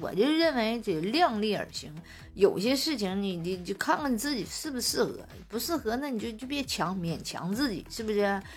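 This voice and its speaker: With a Northeastern Chinese accent, a woman at a fairly high pitch speaks in an animated, somewhat breathy tone at a moderate pace, her pitch swinging very widely. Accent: Northeastern Mandarin. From Northeast China. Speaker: podcast host. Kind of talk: casual chat. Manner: animated, frequent laughter.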